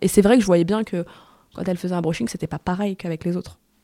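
A woman's dark, mellow voice at a very fast pace, with ordinary pitch variation. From Paris, of Tunisian descent. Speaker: podcast creator. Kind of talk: interview. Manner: halting, many fillers.

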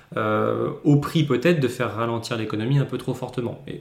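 Room echo is audible along with noticeable background noise. The speaker uses ordinary pitch variation at a moderate pace. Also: man. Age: 20s. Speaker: podcast host, portfolio manager. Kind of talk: solo market commentary. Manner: casual, hesitant with frequent repetitions.

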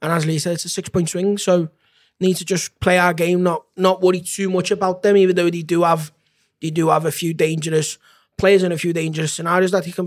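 Monotone and flat, a man speaks at a very fast pace in a high pitch. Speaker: football fan pundit. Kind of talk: casual chat.

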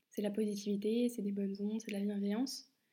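Her tone dark and mellow, a woman speaks with a somewhat breathy, monotone, flat delivery. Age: 20s. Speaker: podcaster. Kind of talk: personal monologue.

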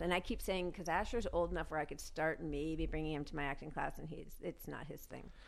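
With an American accent, a woman talks very fast with hardly any pauses, big swings in loudness, vocal fry, and ordinary pitch variation. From New York. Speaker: actress. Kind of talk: casual chat.

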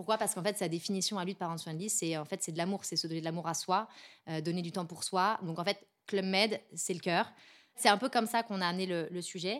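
A woman talks very fast at a medium pitch with ordinary pitch variation. The recording is very clean, with a silent background. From Paris. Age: 30s. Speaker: head of influence and PR. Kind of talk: interview.

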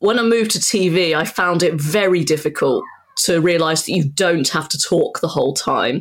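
A woman with an unremarkable speaking voice keeps her loudness very even and her pitch variation ordinary. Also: fairly low pitch for a woman, moderate pace. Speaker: football commentator. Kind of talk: interview.

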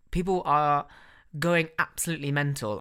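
A British accent with a bright, sharp tone comes through at a moderate pace on a very clean recording against a silent background. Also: man. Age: 20s. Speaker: podcast host. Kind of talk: casual solo monologue.

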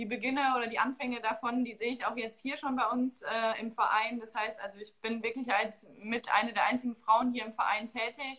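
A woman speaks in a bright, sharp, fairly high voice with monotone, flat intonation. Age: 20s. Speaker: marketing staff at a football club, dual master's student. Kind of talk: interview.

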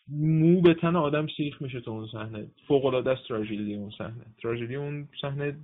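A man with a normal speaking voice talks at a medium pitch and a fairly quick pace, with ordinary pitch variation and hardly any pauses. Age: 20s. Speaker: translator and German teacher. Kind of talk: casual interview.

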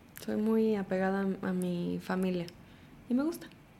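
The woman's tone is dark and mellow, at medium pitch with fairly even intonation. She speaks at a very slow pace, and room echo is audible. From Houston, Texas (born Mexico City). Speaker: actress and TV presenter. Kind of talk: casual interview chat.

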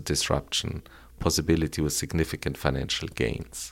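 The man's very deep, low voice carries vocal fry in a very clean recording with a silent background. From Colombia (Bogota). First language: Spanish. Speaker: electric car company founder. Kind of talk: interview. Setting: in person on location in Los Angeles. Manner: halting, with repetitions.

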